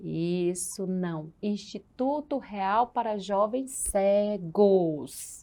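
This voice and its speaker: A woman at medium pitch, very slow yet with hardly any pauses, dark and mellow in tone, with ordinary pitch variation. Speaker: Braille teacher. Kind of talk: online class lecture. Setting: online class from home. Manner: animated, repetitive teacherly questioning.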